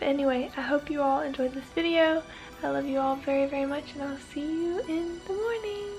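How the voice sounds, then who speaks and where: A woman talks at a fairly quick pace in a high pitch. Music plays in the background. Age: young. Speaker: vlogger. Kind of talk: casual vlog. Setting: at home. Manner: soft-spoken.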